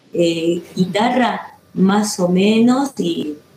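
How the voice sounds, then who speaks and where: A woman speaks at a medium pitch with ordinary variation in it. Background noise is noticeable. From Córdoba, Argentina. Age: 50s. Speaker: actress and musician, theater teacher. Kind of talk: interview. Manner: hesitant, many fillers.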